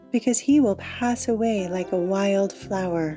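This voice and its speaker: Over music in the background, a woman speaks at a very slow pace in a calm tone with lively intonation. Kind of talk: bible reading for meditation.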